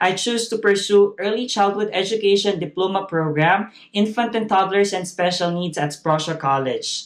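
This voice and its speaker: The speaker has a Filipino accent. The pace is moderate. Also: man. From Philippines. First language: not English (Filipino language). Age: 30s. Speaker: graduate speaker, early childhood educator. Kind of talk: graduation speech. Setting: virtual ceremony, recorded video. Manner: formal.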